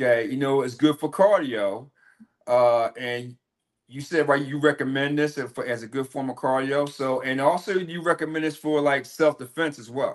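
Over a quiet background, a man speaks at a moderate pace with a fairly high pitch, ordinary pitch variation and big swings in loudness. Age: 50s. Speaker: podcast host. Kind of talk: interview.

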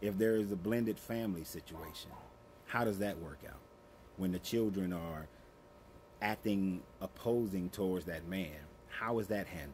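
Over light background noise, a man with a fairly low pitch talks at a moderate pace with ordinary pitch variation. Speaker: relationship advice creator. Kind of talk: advice monologue. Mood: calm, earnest, lecturing. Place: garden. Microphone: phone near.

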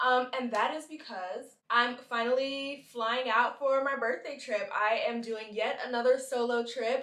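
Through audible room echo, a woman speaks in a high pitch. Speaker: travel vlogger. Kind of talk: casual vlog chat. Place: home room.

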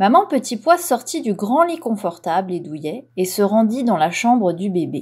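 On a very clean recording with a silent background, a woman with a fairly high pitch and an animated, gentle, somewhat breathy tone talks at a fairly slow pace with hardly any pauses and very wide pitch swings. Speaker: audiobook reader. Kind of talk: bedtime story read aloud. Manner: gentle, soothing storyteller pace; animated, with distinct character voices for mama, papa and cat.

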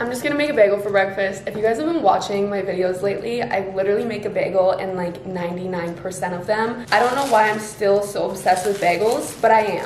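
A woman talks at a very fast pace with hardly any pauses and ordinary pitch variation, amid light background noise and audible room echo. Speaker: lifestyle vlogger. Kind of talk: casual vlog chat. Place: home room. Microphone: phone near.

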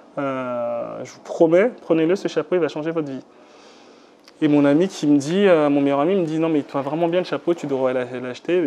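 Over light background noise, a man speaks with ordinary pitch variation. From Benin. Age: 30s. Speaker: digital communication consultant and entrepreneur; interviewee. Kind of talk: interview testimony. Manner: hesitant, many fillers. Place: home room.

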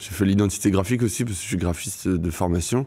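A man talks at a fairly quick pace with a very deep, low pitch. The background is quiet. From Brittany, France (Vannes); Brittany, France. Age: 20s. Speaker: stand-up comedian. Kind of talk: casual interview chat; interview answer. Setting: studio. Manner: loud; hesitant, many fillers. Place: studio. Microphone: studio mic.

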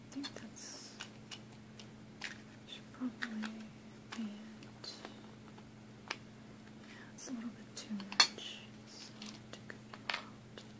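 Loud background noise sits under the speech. Delivery is very slow, with long, frequent pauses. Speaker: ASMR creator. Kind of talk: ASMR soft-spoken sewing kit sounds video. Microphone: phone near.

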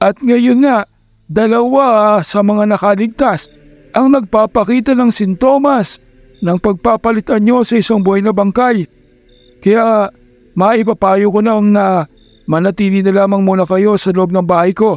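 At a fairly slow pace, a man speaks with a high pitch in a dry, close sound with no echo, faint music in the background. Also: ordinary pitch variation. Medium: read story. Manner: calm, dignified, reassuring.

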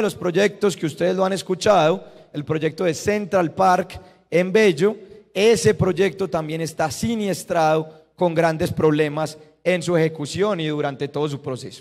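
A man speaks fairly slowly in a high voice with ordinary pitch variation. The background is quiet. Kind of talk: public address explaining a project. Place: hall. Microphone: handheld.

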